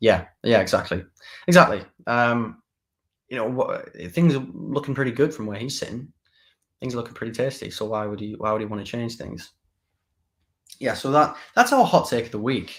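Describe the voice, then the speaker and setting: Speaking with a Teesside accent at a moderate pace and medium pitch, a man shows ordinary pitch variation, big swings in loudness and long, frequent pauses on a very clean recording with a silent background. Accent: northeast England (Teesside). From northeast England, Middlesbrough area. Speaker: political talk show host. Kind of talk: live political commentary show. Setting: live stream. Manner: casual, with frequent repetitions and fillers.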